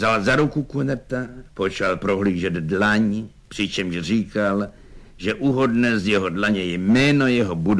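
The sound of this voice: Speech in an unforced reading voice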